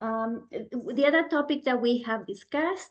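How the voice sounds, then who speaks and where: This woman talks rather slowly, her voice pitched fairly high. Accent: non-native. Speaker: guest speaker in meditation book group. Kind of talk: book discussion talk. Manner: deliberately slow; many fillers, says right? often.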